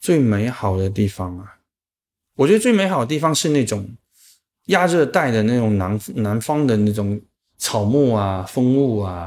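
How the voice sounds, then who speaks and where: A man with a Chaozhou accent speaks at a medium pitch and a fairly slow pace, with lively intonation and long, frequent pauses. The recording is very clean, with a silent background. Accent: Chaozhou-accented Mandarin. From Chaozhou, Guangdong, China. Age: 40s. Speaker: writing platform founder and podcaster. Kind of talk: casual chat.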